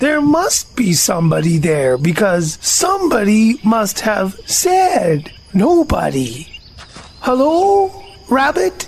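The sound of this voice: In a put-on character voice, a female-sounding speaker growls at a fairly high pitch and a very slow pace.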